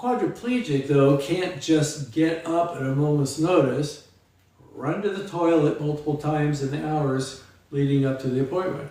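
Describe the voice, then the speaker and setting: Against noticeable background noise and audible room echo, a man talks at a fairly high pitch. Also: ordinary pitch variation, moderate pace. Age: 60s. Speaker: memoir author, quadriplegic. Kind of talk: reading aloud. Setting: live stream.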